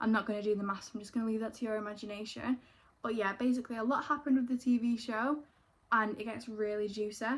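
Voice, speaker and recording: A woman with a Manchester accent talks at a very fast pace in a fairly high pitch. Her intonation is monotone and flat, and her voice is somewhat breathy. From northern England, Greater Manchester. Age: 20s. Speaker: YouTuber, former reality TV participant. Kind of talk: casual get-ready-with-me chat. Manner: chatty, casual.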